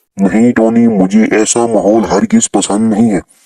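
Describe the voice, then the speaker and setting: In a cartoonish character voice, a man speaks at medium pitch and a fairly slow pace. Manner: earnest, advising.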